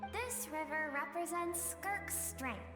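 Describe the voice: A woman uses a put-on character voice at an extremely high pitch, speaking slowly with lively intonation over clear music in the background.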